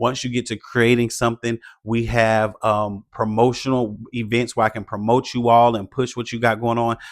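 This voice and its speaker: In a very clean recording with a silent background, a man of medium pitch speaks at a moderate pace in a monotone, flat intonation with hardly any pauses. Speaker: faith-based content creator coach. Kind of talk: motivational vlog talk. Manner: loud.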